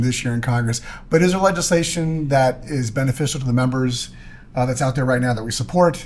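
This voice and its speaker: This is a man with an ordinary speaking voice. His pitch is medium, with ordinary variation. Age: 60s. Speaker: podcast host. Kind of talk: casual chat.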